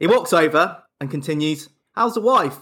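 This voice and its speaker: A man with an English accent has a fairly high pitch and a bright, sharp tone. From England. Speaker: podcast co-host. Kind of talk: casual chat.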